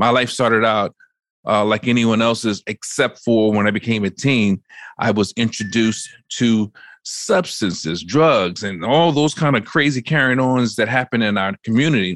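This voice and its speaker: Against a quiet background, a man speaks with an enthusiastic, animated tone at a moderate pace, his fairly low pitch showing ordinary variation in a dry, close sound with no echo. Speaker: keynote speaker and author. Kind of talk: casual interview chat.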